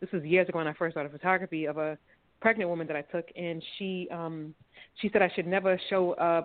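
A woman with an American accent talks at a fairly quick pace. She has a plain, everyday voice, fairly low in pitch, with fairly even intonation. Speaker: filmmaker. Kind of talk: interview.

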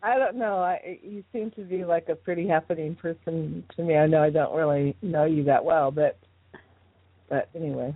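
This woman has an unremarkable speaking voice, fairly low in pitch, with ordinary pitch variation and a moderate pace. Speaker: tonal alchemist and spiritual teacher. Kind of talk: interview conversation. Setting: phone call.

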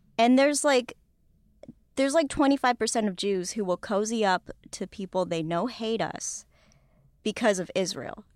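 At a moderate pace with long, frequent pauses, a woman speaks at a fairly high pitch in a very clean recording with a silent background and a dry, close sound with no echo. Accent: American. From US West, Los Angeles. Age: 20s. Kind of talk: casual interview chat.

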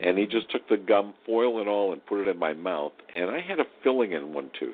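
Delivered at a moderate pace with lively intonation, a plain, everyday voice comes with an American accent. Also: man. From Ohio, Cleveland area. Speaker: horror host. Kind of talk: casual chat.

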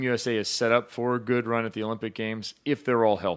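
In a plain, everyday voice, a man keeps to a moderate pace. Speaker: volleyball show host. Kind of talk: casual sports talk show chat. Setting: live stream show.

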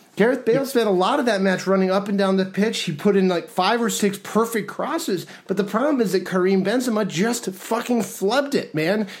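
A man speaks in an animated tone at a high pitch. He goes at a fairly quick pace with hardly any pauses. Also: ordinary pitch variation. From New York, partly raised in Spain. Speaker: soccer podcast host and writer. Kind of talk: casual chat.

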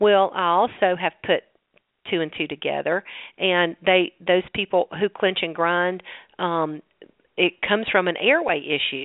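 Ordinary pitch variation runs through this woman's medium-pitched voice as she talks at a fairly slow pace. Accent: Southern US. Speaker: holistic dentist. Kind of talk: radio interview.

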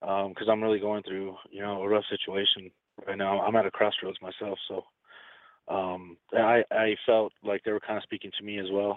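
A man with an unremarkable speaking voice, fairly low in pitch, at a fairly quick pace. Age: 30s. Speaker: caller. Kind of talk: phone-in consultation.

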